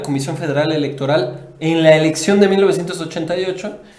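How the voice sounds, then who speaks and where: At a moderate pace, a man with a high pitch and ordinary pitch variation speaks amid audible room echo and noticeable background noise. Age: 20s. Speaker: news commentator. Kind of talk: casual political discussion.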